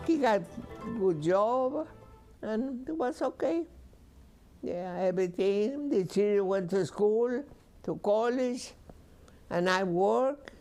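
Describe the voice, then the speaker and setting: Music plays behind a voice that moves at a very slow pace with lively intonation and long, frequent pauses. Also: woman, medium pitch for a woman. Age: 80s+. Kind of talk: interview answer.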